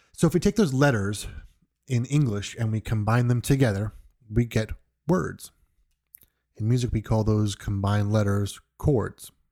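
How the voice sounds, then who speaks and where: Speaking at a moderate pace with an American accent, the voice has a dark, mellow tone, ordinary pitch variation and long, frequent pauses in a very clean recording with a silent background. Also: man, medium pitch for a man. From New York. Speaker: music podcast host. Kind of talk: podcast monologue. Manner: halting, with frequent repetitions.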